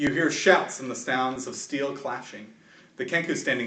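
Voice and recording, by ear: The pitch varies in an ordinary way as someone reads aloud in a natural voice.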